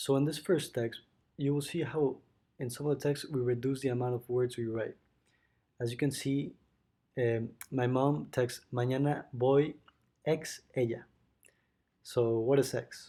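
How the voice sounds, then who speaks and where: With a Spanish accent, the speaker has a dark, mellow tone and monotone, flat intonation. Long, frequent pauses break up the speech in a very clean recording with a silent background. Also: man, medium pitch for a man, fairly slow pace. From Mexico City, Mexico. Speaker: student. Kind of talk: school presentation. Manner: halting.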